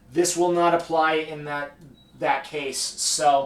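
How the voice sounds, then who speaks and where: Very slow speech from a man with a fairly high pitch, amid noticeable background noise. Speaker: economics instructor. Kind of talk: lecture. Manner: halting, self-correcting.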